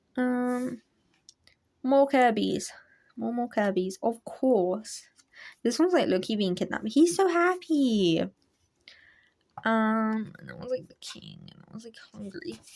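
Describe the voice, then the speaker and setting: Shaky and fairly slow, a woman speaks at a fairly high pitch with very wide pitch swings, big swings in loudness and long, frequent pauses. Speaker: hobby artist youtuber. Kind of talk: sketchbook tour, casual talk to camera. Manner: hesitant, many ums and likes.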